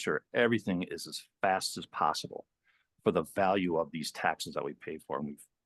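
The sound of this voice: At a moderate pace, a man speaks low in pitch with a fairly bright tone and fairly even intonation.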